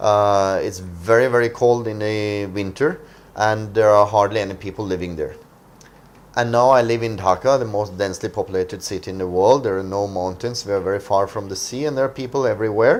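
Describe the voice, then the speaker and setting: Speaking at a fairly quick pace with long, frequent pauses, a man with a Norwegian accent uses a fairly low pitch and ordinary pitch variation. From Norway, coastal. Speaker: internet entrepreneur. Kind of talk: talk. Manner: hesitant, many fillers.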